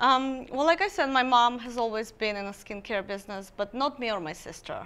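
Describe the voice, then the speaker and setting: A woman's high-pitched, bright and sharp voice at a fairly quick pace, with lively intonation and big swings in loudness. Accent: Armenian. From Armenia. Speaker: skincare business founder. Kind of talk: interview.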